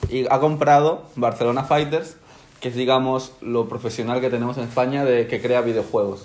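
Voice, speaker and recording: A man with a plain, everyday voice speaks at medium pitch and a moderate pace, with fairly even intonation. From Spain (born in Ecuador, moved at age one). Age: 20s. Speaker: professional gamer. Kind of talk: interview.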